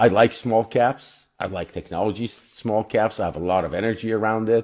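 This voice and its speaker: A man speaks in a plain, everyday voice, pitched fairly low, with fairly even intonation. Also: fairly quick pace. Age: 60s. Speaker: company CEO. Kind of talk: interview.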